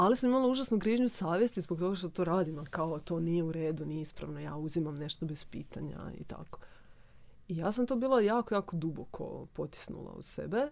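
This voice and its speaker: A woman with a plain, everyday voice, fairly low in pitch, with lively intonation and a fairly quick pace. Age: 30s. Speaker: theta healing practitioner. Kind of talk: casual chat.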